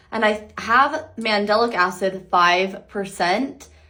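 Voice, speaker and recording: In a room with audible echo, a woman speaks at a medium pitch with ordinary pitch variation. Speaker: beauty vlogger. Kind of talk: makeup tutorial. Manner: casual, chatty.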